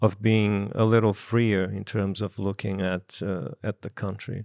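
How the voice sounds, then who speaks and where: Fairly low in pitch, a man with a Brazilian accent keeps his intonation fairly even. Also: very clean recording, silent background. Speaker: filmmaker. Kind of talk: panel discussion.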